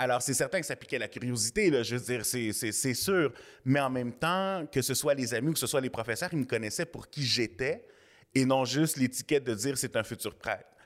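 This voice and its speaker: On a very clean recording with a silent background, a plain, everyday voice speaks at a moderate pace with ordinary pitch variation. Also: man, medium pitch for a man. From Quebec (Montreal South Shore, Saint-Hubert). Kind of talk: interview.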